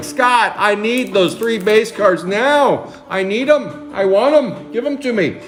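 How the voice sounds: Over clear background music, a man uses a whiny put-on character voice, pitched high and delivered at a fairly slow pace.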